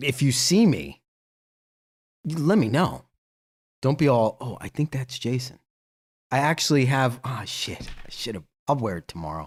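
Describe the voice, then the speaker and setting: A man with a medium pitch and vocal fry speaks at a moderate pace, his pitch and loudness both swinging widely. He pauses often and at length, and the recording is very clean with a silent background. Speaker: live stream host. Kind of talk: casual live stream chat.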